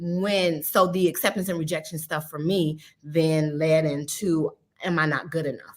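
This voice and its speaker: A woman talks at a very deep, low pitch. Her intonation stays fairly even. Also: moderate pace. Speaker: psychologist. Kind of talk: interview.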